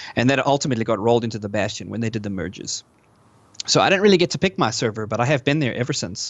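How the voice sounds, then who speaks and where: At a very fast pace, a man talks with lively intonation. His pitch is medium. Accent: slight South African. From South Africa. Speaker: gamer, podcast interviewee. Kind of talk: podcast interview. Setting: live online podcast recording. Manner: hesitant, many fillers.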